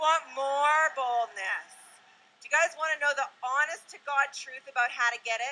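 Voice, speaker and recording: At a moderate pace, a woman with a high pitch projects a raised voice, her tone bright and sharp and her intonation lively. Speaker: motivational speaker. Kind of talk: motivational talk. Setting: stage with audience. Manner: loud; animated.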